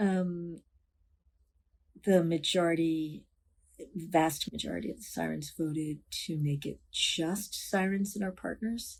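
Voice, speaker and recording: A woman's somewhat breathy voice with an American accent, fairly low in pitch, at a fairly slow pace with fairly even intonation and long, frequent pauses. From New York City. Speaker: motorcycle club co-founder. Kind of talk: interview.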